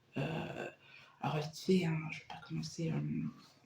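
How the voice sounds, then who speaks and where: Fairly quick speech from a woman, with noticeable background noise behind it. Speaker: booktuber. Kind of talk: casual chat. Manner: hesitant, many fillers; chatty.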